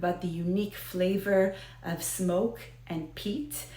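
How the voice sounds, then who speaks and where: Speaking with an American accent, a woman is heard with audible room echo. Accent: American Israeli. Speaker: whiskey video host. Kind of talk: casual educational talk to camera. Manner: hesitant, many fillers.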